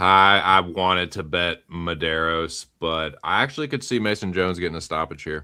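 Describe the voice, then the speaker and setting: The speaker has a Southern US accent and a bright, sharp tone, moving at a moderate pace with ordinary pitch variation and hardly any pauses. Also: man, very deep, low pitch for a man, very clean recording, silent background. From US South. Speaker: MMA betting panelist. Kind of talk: casual chat. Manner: casual, filler-heavy.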